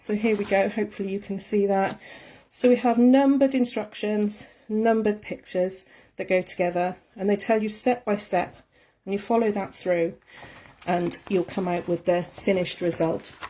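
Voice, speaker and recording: A woman with a Welsh accent speaks at a medium pitch in a dark, mellow tone. Her intonation stays fairly even, and the recording is very clean with a silent background. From Wales. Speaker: art tutor. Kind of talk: live tutorial. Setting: Facebook live stream. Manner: fast.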